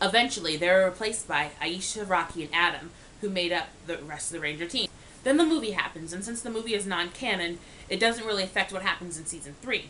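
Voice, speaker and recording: A woman talks very fast at a fairly low pitch, with ordinary pitch variation. Background noise is noticeable. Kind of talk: casual talk to camera. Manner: stuttering.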